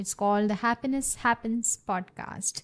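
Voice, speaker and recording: A plain, everyday voice comes from a woman with a fairly high pitch. She speaks at a fairly slow pace with ordinary pitch variation, in a dry, close sound with no echo. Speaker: podcast host. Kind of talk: casual interview.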